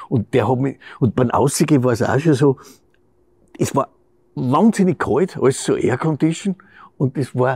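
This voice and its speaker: A man's somewhat breathy, dark, mellow voice, fairly high in pitch, at a moderate pace with ordinary pitch variation and long, frequent pauses, against a quiet background. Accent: Styrian. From Styria, Austria. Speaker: actor. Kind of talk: interview answer. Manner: casual, anecdotal. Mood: amused storytelling. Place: stage.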